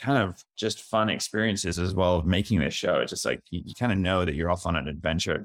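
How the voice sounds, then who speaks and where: A plain, everyday voice: a man, fairly low in pitch, with hardly any pauses. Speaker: director and TV creator. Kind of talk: casual interview.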